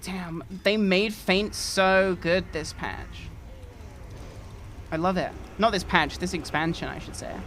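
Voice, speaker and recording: In an English accent, a woman talks at a very slow pace with a medium pitch and monotone, flat intonation, leaving long, frequent pauses and swinging widely in loudness. Music plays in the background, and audible room echo surrounds her. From England. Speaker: streamer. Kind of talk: casual gaming live stream chat.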